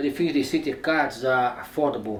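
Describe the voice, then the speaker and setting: Recorded with audible room echo, a man speaks with a non-native accent and ordinary pitch variation. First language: not English. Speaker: news cameraman reviewing cameras. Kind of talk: product review. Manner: halting.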